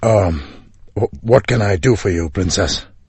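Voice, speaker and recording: Using a put-on character voice, a man speaks in a raspy, very deep, low register at a moderate pace. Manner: whispering, soft.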